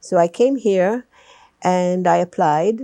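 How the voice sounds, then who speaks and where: Spoken at a very slow pace with a non-native accent, the voice has a dark, mellow tone, ordinary pitch variation, and a dry, close sound with no echo over a quiet background. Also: woman. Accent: noticeable foreign. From Malta. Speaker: retired teacher. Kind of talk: oral history interview.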